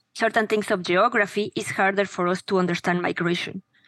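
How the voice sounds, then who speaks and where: With a Spanish accent, a woman talks in a bright, sharp tone at a medium pitch, her intonation monotone and flat, and the sound is dry and close with no echo against a quiet background. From Mexico. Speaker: education startup founder. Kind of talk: interview conversation.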